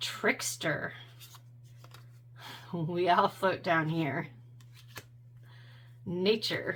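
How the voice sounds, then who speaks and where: A woman with fairly low pitch talks at a very slow pace, leaving long, frequent pauses. Her pitch variation is ordinary, and background noise is noticeable. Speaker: tarot content creator. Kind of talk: casual talk to camera, deck flip-through review.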